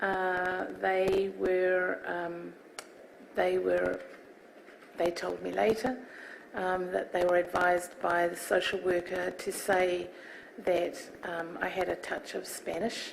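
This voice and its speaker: A woman in a New Zealand accent at a very slow pace, with long, frequent pauses and noticeable background noise. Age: 60s. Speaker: inquiry witness. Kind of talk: testimony. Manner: halting.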